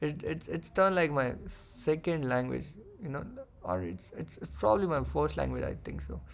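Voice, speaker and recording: A man speaks with a Marathi accent. His pace is moderate. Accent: Indian English, Marathi. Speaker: forex trader. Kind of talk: trading tutorial; casual chat. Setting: screen-shared recording. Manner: halting.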